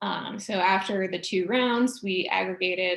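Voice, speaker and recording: At a fairly slow pace, a woman speaks in a medium pitch with vocal fry. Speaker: postdoctoral researcher. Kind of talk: research talk. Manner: hesitant, many fillers.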